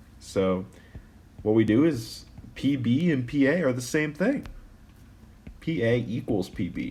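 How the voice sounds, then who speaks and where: Somewhat breathy man at medium pitch with a dark, mellow tone, lively intonation, a fairly slow pace and long, frequent pauses, amid audible room echo. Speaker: math teacher. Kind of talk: tutorial. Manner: casual, with fillers.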